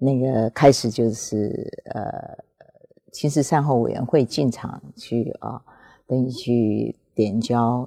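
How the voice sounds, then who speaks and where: In a Taiwanese accent, a woman talks at a very slow pace with a very deep, low pitch and a dark, mellow tone. Her intonation is fairly even, and the sound is dry and close with no echo. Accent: Taiwanese Mandarin. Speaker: former museum director. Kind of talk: interview. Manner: halting; formal.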